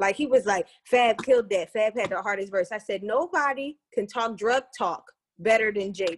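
A woman with a plain, everyday voice talks at a moderate pace and fairly high pitch, with ordinary pitch variation. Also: dry, close sound with no echo. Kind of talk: casual chat.

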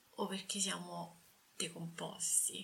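Speaking fairly slowly, a woman keeps to a medium pitch. Audible room echo and noticeable background noise come through. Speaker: podcast host. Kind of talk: casual interview.

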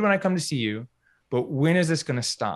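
A man with an American accent, an unremarkable speaking voice, lively intonation and a fairly quick pace. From US South, North Carolina. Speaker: physical therapist and business coach. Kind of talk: interview.

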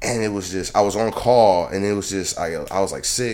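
In an American accent, a man talks at a moderate pace with a fairly low pitch. He has an ordinary speaking voice with ordinary pitch variation. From Detroit, Michigan, US Midwest. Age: 20s. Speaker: comedian. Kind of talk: casual chat. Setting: studio.

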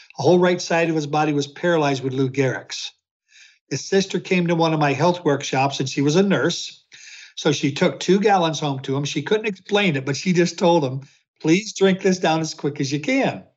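Using an unremarkable speaking voice, a man talks at a fairly quick pace in a fairly high pitch, with ordinary pitch variation. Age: 60s. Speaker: health researcher. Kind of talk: interview answers.

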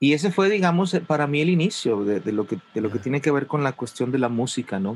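A man talks very fast with hardly any pauses. His pitch swings very widely. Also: fairly high pitch for a man. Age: 40s. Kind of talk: casual interview chat.

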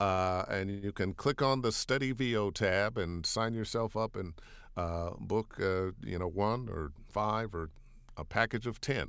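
With an American accent and a normal speaking voice, a man talks fairly slowly at a fairly low pitch with lively intonation, on a very clean recording with a silent background. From US Midwest, Cleveland, Ohio. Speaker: voiceover artist, former radio DJ. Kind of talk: interview.

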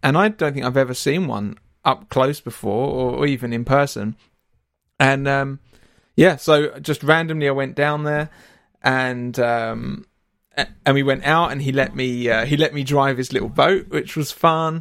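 A man with a fairly high pitch talks at a moderate pace in an ordinary speaking voice, using ordinary pitch variation. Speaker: podcast host. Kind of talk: casual chat. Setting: live chat with slack audience.

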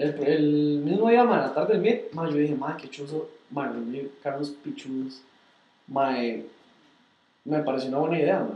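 There is audible room echo around a man with a Costa Rican accent. He talks very slowly at a fairly high pitch. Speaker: car club founder and podcast co-host. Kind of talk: casual chat. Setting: livestream.

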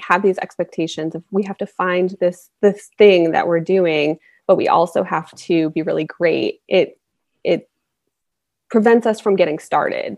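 The dry, close sound with no echo carries a woman's plain, everyday voice at medium pitch, with ordinary pitch variation and a moderate pace. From US South, North Carolina. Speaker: confidence coach. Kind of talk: casual interview chat.

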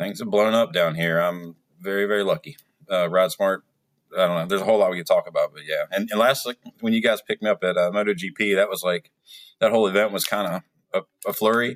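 A man talks at a very fast pace with an American accent. The sound is dry and close, with no echo. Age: 40s. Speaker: motorcycle riding coach. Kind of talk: casual chat.

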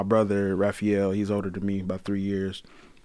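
With a Detroit accent, a man talks at a fairly low pitch. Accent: Detroit Michigan Midwest. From Detroit, Michigan. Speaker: guest. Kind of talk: casual chat.

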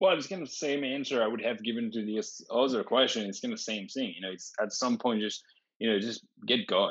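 Speaking at a fairly quick pace, a man talks with a French accent. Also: medium pitch for a man, ordinary pitch variation. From France. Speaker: tech company founder and CEO. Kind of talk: interview.

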